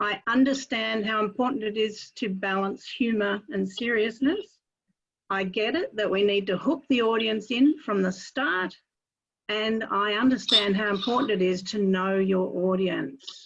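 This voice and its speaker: A woman speaks with an Australian accent at a fairly slow pace. Her pitch is fairly high, with ordinary variation. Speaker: club member asking a question. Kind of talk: Q&A question.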